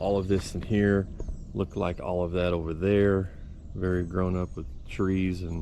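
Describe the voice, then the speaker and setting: Very deep, low male voice in a Texan accent, fairly slow in pace, with audible room echo. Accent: Texan Southern US. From Texas. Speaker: business owner and outdoors channel host. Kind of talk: casual vlog talk to camera. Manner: hesitant with many fillers.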